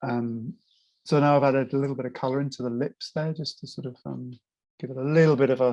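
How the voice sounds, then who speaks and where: A man talks at a very fast pace in a medium-pitched, dark, mellow tone with fairly even intonation. His loudness shifts in big swings. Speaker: puppet maker and artist, drawing teacher. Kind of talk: casual interview answer explaining drawing technique.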